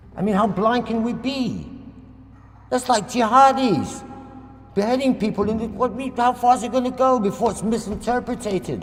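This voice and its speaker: With an extremely high pitch for a man, this male speaker keeps a fairly even intonation at a moderate pace, pausing long and often amid audible room echo and noticeable background noise. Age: 60s. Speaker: local campaigner. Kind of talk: public presentation. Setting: public meeting in a hall. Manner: impassioned.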